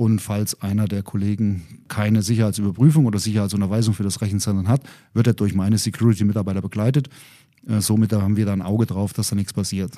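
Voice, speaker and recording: A man speaks very fast in a fairly low pitch with a dark, mellow tone. His intonation is fairly even, and the recording is very clean with a silent background. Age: 50s. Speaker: head of data center security. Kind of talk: casual interview. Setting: studio.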